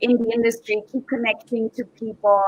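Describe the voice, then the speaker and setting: A woman speaks in an Austrian accent at a moderate pace. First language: German. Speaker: professional dancer and aerial acrobat. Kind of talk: live interview. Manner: hesitant with many fillers.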